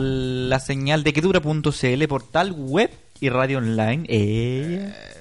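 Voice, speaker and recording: A man speaks with a Chilean accent. His intonation is lively. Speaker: online radio host. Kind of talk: casual chat.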